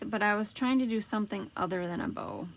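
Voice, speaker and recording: Using a normal speaking voice, a woman talks fairly quickly at a fairly high pitch. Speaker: paper craft demonstrator. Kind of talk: live craft tutorial. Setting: Facebook Live stream. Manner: casual, chatty.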